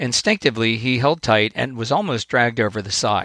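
At a fairly quick pace, a normal speaking voice is heard on a very clean recording with a silent background and a dry, close sound with no echo. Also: man. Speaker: podcast host, author and coach. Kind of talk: storytelling fable reading aloud. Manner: earnest, warm, formal.

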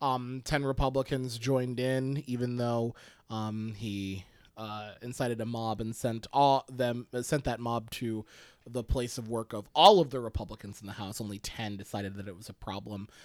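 A man's medium-pitched voice at a moderate pace, with big swings in loudness, on a very clean recording with a silent background. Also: fairly even intonation. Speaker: podcast co-host. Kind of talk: casual chat.

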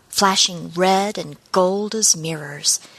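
A woman's animated, bright and sharp tone at a medium pitch. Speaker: fiction narrator. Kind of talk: dramatic narration of a science fiction story, read aloud with tense, vivid pacing. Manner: animated, expressive, suspenseful.

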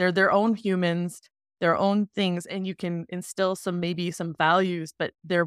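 A woman with an American accent has a plain, everyday voice at a fairly low pitch and moderate pace. The recording is very clean, with a silent background and a dry, close sound with no echo. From US South. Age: 40s. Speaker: podcast guest. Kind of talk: interview.

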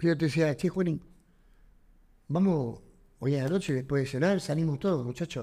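A man speaks at a fairly high pitch with a Rioplatense accent and ordinary pitch variation. His pace is moderate, his loudness very even, and his pauses long and frequent. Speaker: professional wrestler and actor. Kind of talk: interview.

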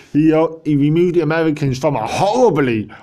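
A man with an English accent. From England. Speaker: political commentator. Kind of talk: political monologue. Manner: animated.

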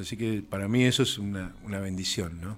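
In an ordinary speaking voice, a man talks fairly slowly. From Argentina, Mendoza. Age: 50s. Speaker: musician. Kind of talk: interview.

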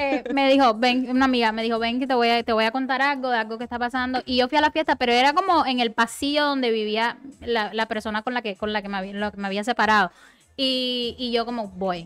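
A woman with a Cuban accent talks at a very fast pace in a high voice with ordinary pitch variation, and the sound is dry and close with no echo. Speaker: podcast guest. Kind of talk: casual chat.

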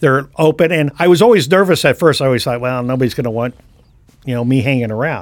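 This man has an American accent. He talks in a fairly high pitch. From US West Coast, San Francisco Bay Area. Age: 60s. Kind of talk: casual chat.

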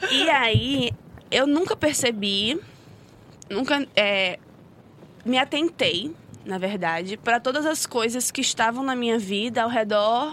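High female pitch with ordinary variation. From Rio de Janeiro, Brazil. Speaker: social sciences student and civil engineer. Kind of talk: casual podcast conversation.

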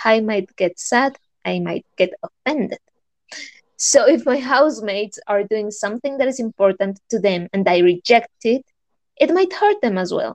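A woman speaks with a Spanish accent at a fairly high pitch. Her intonation is lively, and the sound is dry and close with no echo. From Colombia. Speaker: podcast co-host. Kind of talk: casual chat. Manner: scripted-sounding, slightly formal.

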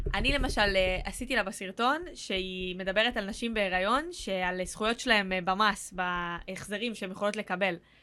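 Barely pausing at all, a woman speaks in a bright, sharp tone. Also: medium pitch for a woman, ordinary pitch variation, moderate pace. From central Israel (near Rehovot). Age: 30s. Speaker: actress and content creator. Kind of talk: casual chat.

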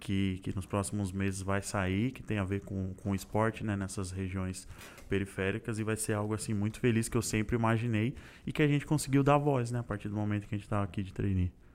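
Using a normal speaking voice, a man with a fairly low pitch talks at a fairly quick pace with fairly even intonation. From Santo André, greater São Paulo, Brazil. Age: 20s. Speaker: corporate trainee, mechanical engineer. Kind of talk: casual interview chat.

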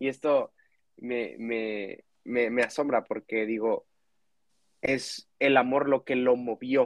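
A man speaks at a very slow pace in a monotone, flat intonation. The sound is dry and close with no echo. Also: medium pitch for a man. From Mexico. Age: 20s. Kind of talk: casual faith conversation.

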